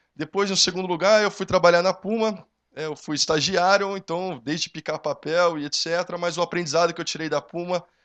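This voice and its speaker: A man speaks fairly quickly with an interior São Paulo accent, barely pausing at all. His pitch is high and his intonation stays fairly even. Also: quiet background. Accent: interior paulista accent, noticeable. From Brazil, São Carlos (interior of São Paulo state). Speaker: young entrepreneur, panel speaker. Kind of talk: motivational talk.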